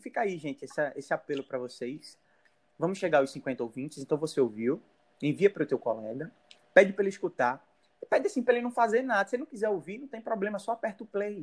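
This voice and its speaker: A man talks at a very fast pace with a high pitch and very wide pitch swings. The sound is dry and close, with no echo. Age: 20s. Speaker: podcast host. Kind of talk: casual chat.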